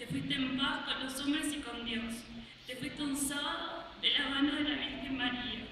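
A woman with a high pitch and a bright, sharp tone speaks at a moderate pace with ordinary pitch variation, and room echo is audible.

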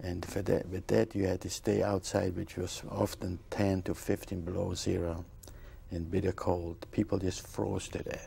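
A man with a Polish accent speaks at a fairly slow pace, his pitch very deep and low and his intonation fairly even. The tone is dark and mellow, somewhat breathy, over light background noise. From Poland (Bochnia, near Krakow); Poland. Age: 60s. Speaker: Holocaust survivor; interviewee. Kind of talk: testimony. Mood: reflective, earnest. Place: studio.

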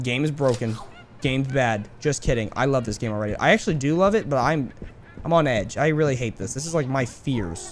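A man's medium-pitched voice at a fairly quick pace, lively in intonation, amid noticeable background noise. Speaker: gaming YouTuber. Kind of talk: let's play commentary. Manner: animated.

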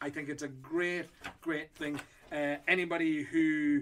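A man speaks in an Irish accent with a fairly high pitch. His intonation is monotone and flat. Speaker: whiskey auctioneer. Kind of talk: casual talk to camera. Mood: enthusiastic, friendly. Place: shop.

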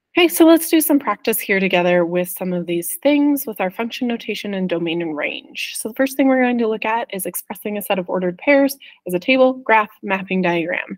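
A woman speaks at a fairly quick pace with very wide pitch swings and hardly any pauses. The background is quiet. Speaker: math teacher. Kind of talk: tutorial. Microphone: webcam.

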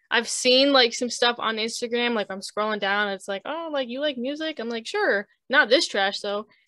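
A woman with a high, bright, sharp voice speaks at a moderate pace with hardly any pauses and ordinary pitch variation over a quiet background. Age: 20s. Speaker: multimedia artist and streamer; streamer. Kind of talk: casual chat. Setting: video call. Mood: relaxed, smiling, animated. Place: home room. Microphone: video call.

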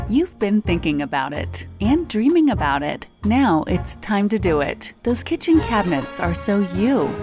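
Clear music plays behind a woman with an American accent who speaks at a fairly slow pace in a dry sound with no echo. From United States. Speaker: voice actor. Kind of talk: TV commercial read. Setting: studio. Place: studio.

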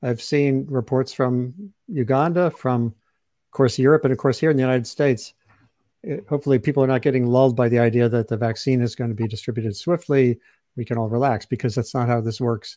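A voice with a dark, mellow tone moves at a fairly quick pace over a quiet background. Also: man, ordinary pitch variation, dry sound with no echo. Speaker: webcast host, journalist. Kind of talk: host introduction. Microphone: video call.

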